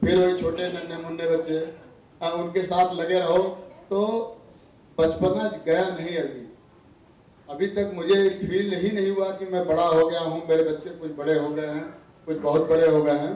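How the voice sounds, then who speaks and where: High male voice with fairly even intonation, long and frequent pauses, audible room echo and noticeable background noise. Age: 50s. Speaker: school PE teacher. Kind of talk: farewell speech. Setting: banquet hall with audience.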